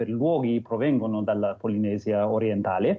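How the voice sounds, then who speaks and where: A man with an English accent and ordinary pitch variation. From New Zealand, Christchurch. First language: English (speaking Italian). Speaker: Maori cultural guest. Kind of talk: interview. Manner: non-native Italian, hesitant.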